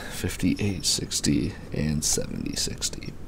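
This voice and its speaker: A man speaks quietly at a very slow pace, his pitch very deep and low. Background noise is noticeable. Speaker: father. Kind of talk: casual finance explainer. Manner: quiet, low voice.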